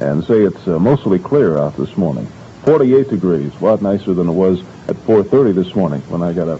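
With an American accent and a very deep, low pitch, a man talks at a fairly quick pace over light background noise. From United States Midwest. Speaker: radio DJ. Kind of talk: radio DJ morning show patter. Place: booth. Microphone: old recording.

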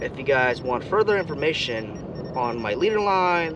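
A man at a fairly slow pace, dry with no echo, over noticeable background noise. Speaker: fishing vlogger. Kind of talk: casual vlog tutorial. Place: boat.

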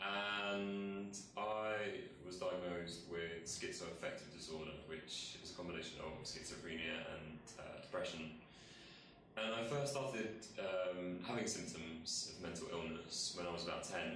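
A man speaks with a very deep, low pitch and ordinary pitch variation, with audible room echo and light background noise. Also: moderate pace. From England, northwest London (Harrow). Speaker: mental health campaigner. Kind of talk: testimony. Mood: calm, reflective. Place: office.

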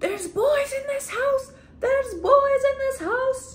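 Someone shouts in a put-on character voice at a fairly slow pace. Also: woman, extremely high pitch for a woman. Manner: yelling, freaking out.

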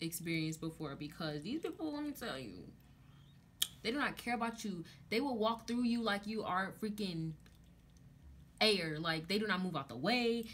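A woman speaks at a moderate pace, her voice somewhat breathy and her pitch swinging very widely. Light background noise sits behind her. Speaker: college student vlogger. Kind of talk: casual vlog chat. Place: home room. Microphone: phone near.

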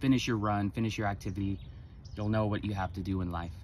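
At a fairly quick pace, a man with a fairly low pitch speaks over light background noise in a dry sound with no echo. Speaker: sobriety vlogger. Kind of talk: casual vlog chat. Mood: reflective, motivational. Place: street. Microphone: phone near.

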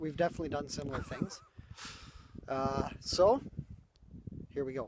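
A man speaks at a moderate pace in a fairly high voice with ordinary pitch variation. The sound is dry with no echo, and there is noticeable background noise. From Canada. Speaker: vlogger. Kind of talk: casual talk to camera. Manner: joking, playful. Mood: joking, playful. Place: open country. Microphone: phone near.

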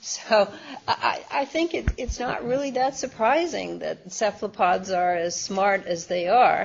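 A woman's fairly high voice with an American accent, very wide pitch swings and a fairly slow pace, over light background noise. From US Midwest. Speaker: science author and former journalist; former journalist. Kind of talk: interview. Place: meeting room. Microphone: video call.

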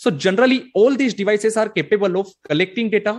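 A quiet background behind a man talking at a fairly quick pace. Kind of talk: conference presentation.

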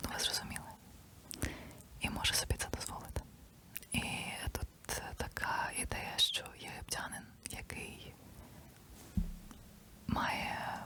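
Background noise is clearly present. A woman delivers her words in a whisper. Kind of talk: ASMR whispered ramble to camera. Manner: whispered, soft-spoken.

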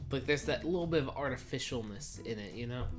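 Faint music plays in the background. A man speaks with ordinary pitch variation. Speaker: snack reviewer. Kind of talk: casual vlog chat. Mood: playful, chatty. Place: home room. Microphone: camera far.

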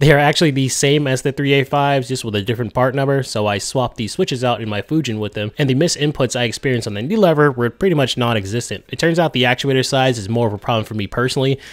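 A man at medium pitch, fast-paced with few pauses and ordinary pitch variation.

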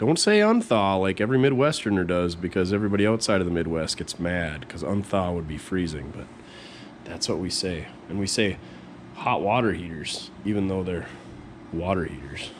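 Amid noticeable background noise, a man talks at a fairly quick pace with ordinary pitch variation. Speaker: mechanic vlogger. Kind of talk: casual vlog chat. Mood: relaxed, joking. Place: garage. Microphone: phone near.

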